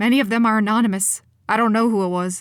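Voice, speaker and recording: In a put-on character voice with a nervous tone, a woman speaks at a very fast pace with a fairly high pitch, fairly even intonation and very even loudness. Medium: read story. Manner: nervous, hesitant.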